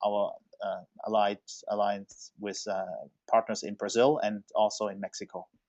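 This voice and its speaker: At a moderate pace, a man speaks with a German accent. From Germany, Stuttgart. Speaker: software consultancy executive. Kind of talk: webinar presentation. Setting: online webinar. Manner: halting, many fillers.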